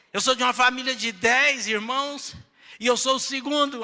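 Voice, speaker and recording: A raised, projected voice with a bright, sharp tone, ordinary pitch variation and a fairly slow pace. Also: man. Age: 60s. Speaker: pastor. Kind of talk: sermon.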